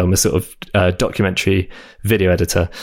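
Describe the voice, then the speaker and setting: A man in an English accent at a moderate pace. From southern England. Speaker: app developer. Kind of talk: casual interview. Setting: remote recording.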